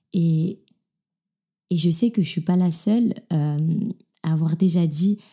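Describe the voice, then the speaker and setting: Over a silent background in a very clean recording, the voice has a dark, mellow tone, a somewhat breathy quality and a very slow pace. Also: woman. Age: 20s. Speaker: podcast host. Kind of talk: casual monologue. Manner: hesitant, many fillers.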